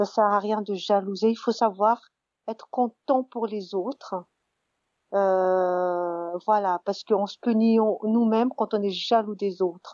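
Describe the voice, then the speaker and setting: Her intonation stays fairly even at a medium pitch. The woman speaks at a very slow pace. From Madagascar. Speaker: interviewee sharing her vision. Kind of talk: personal reflection monologue. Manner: halting, many hesitations and repetitions.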